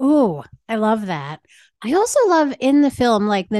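Lively intonation marks this woman's plain, everyday voice at a moderate pace. The sound is dry and close with no echo, against a quiet background. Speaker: podcast host. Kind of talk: casual interview chat.

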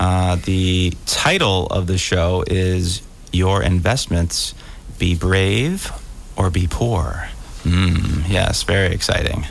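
A man's very deep, low voice at a very slow pace, with very even loudness, fairly even intonation and noticeable background noise. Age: 40s. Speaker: radio co-host. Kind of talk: financial talk radio. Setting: radio studio.

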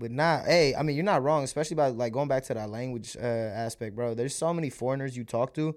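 On a very clean recording with a silent background, a man speaks at a fairly quick pace in an animated tone, with medium pitch and ordinary pitch variation. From US, raised in America; born in India. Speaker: podcast co-host. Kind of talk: casual chat.

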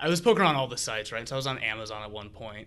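His pitch sits in the middle range. The voice of this man sounds bright and sharp. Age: 20s. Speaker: ad tech professional. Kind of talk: casual chat.

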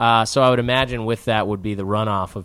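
On a very clean recording with a silent background, a man with an American accent uses an ordinary speaking voice, talking at a fairly quick pace with fairly even intonation. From Chicago area. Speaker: filmmaker and actor. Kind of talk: casual interview chat. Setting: apartment.

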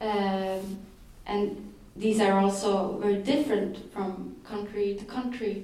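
Over noticeable background noise, a woman with a Swedish accent speaks fairly slowly at a medium pitch, her intonation fairly even. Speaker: journalist. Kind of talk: talk. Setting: stage with audience.

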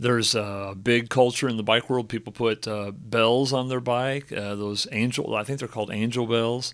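A man has a normal speaking voice at medium pitch, talking at a moderate pace with fairly even intonation on a very clean recording with a silent background. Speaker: church pastor. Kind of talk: casual podcast interview. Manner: relaxed, joking.

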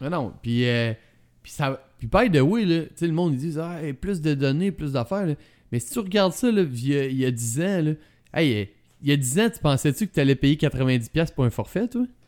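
With a Quebec accent, a man speaks at a moderate pace in a fairly high voice with lively intonation. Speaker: tech podcast co-host. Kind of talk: casual chat. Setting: studio with masks.

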